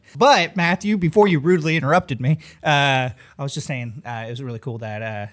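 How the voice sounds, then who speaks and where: On a very clean recording with a silent background, a man talks fairly quickly at a fairly high pitch with lively intonation. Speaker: podcast host and video maker. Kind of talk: casual chat. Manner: fast.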